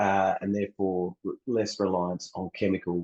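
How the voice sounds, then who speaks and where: In an Australian accent, a man speaks at a moderate pace with a fairly low pitch. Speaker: water utility researcher. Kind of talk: conference presentation. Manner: halting.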